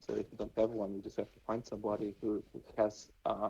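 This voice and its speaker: A man mumbling at a fairly quick pace. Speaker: NFT game project team member. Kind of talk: casual interview chat. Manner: halting, many fillers.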